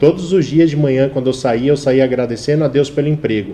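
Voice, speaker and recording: Ordinary variation runs through the pitch. The voice has a dark, mellow tone. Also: man. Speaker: advertising professional and TV presenter. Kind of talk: live talk show interview.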